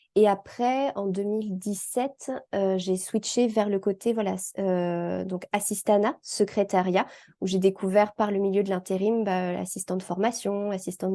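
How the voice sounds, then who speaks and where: Against a quiet background, a woman speaks at a medium pitch and a fairly slow pace with monotone, flat intonation. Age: 30s. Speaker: independent assistant and trainer. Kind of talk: interview testimony. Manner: hesitant, many fillers.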